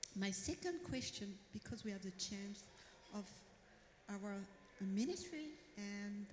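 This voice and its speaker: A woman's fairly high pitch at a fairly slow pace, with audible room echo and noticeable background noise. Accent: French. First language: French. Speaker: audience member. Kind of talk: audience question. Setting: stage with audience. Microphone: too far from the mic.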